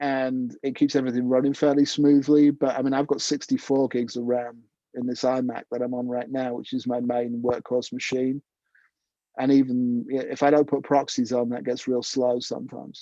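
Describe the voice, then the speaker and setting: A man's dark, mellow tone in monotone, flat intonation at a moderate pace, dry with no echo against a quiet background. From northern England, Cleethorpes and Leeds; northern England. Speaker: jazz trumpeter and video editor; presenter. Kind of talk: online tutorial; casual anecdote. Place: home room. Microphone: earbuds.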